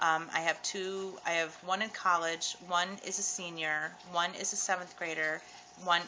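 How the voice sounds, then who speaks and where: A soft-spoken woman talks in a fairly low pitch. Noticeable background noise runs underneath. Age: 30s. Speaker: vlogger sharing weight loss surgery experience. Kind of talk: casual vlog testimony. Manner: soft-spoken, keeping quiet; hesitant with many ums.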